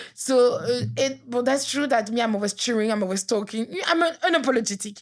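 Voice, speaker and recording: A woman with a French accent speaks at a high pitch in an animated tone, fairly quickly and with ordinary pitch variation. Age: 30s. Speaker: author. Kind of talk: casual chat.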